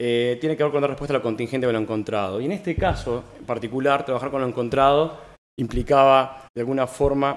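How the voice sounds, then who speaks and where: A man talking at a very fast pace, with ordinary pitch variation. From Uruguay. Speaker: architect. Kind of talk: lecture. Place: hall. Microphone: podium.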